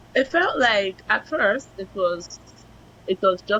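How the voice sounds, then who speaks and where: A woman's medium-pitched voice, dry and close with no echo, over noticeable background noise. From Nigeria. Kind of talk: interview.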